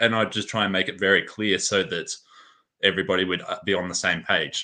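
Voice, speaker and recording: A man with an Australian accent, fairly low pitch and a bright, sharp tone, talking at a fairly quick pace with fairly even intonation over a quiet background. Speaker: game event crew member and player. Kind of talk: interview.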